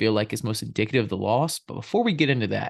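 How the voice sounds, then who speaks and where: Very fast speech with vocal fry over a quiet background. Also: man. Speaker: sports podcast host. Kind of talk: casual chat. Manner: subdued.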